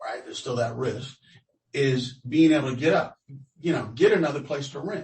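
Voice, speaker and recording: A man with an American accent speaks at a fairly high pitch, his voice somewhat breathy. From Los Angeles, US West Coast. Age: 60s. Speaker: interviewee, tenant. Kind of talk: research interview. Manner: halting.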